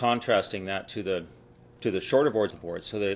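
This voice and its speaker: A man with a plain, everyday voice, a fairly low pitch, ordinary pitch variation and a fairly quick pace. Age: 60s. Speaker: surfboard designer. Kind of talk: interview.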